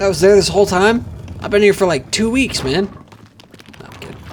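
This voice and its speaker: Amid noticeable background noise, a man with a high pitch speaks with long, frequent pauses. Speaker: gaming streamer. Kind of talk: live gameplay commentary. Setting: livestream. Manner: animated.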